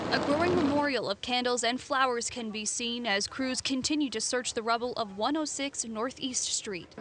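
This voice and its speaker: High-pitched female speech at a moderate pace, with ordinary pitch variation, hardly any pauses, and noticeable background noise. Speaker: TV news reporter and anchor. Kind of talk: live TV news report. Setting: outdoors.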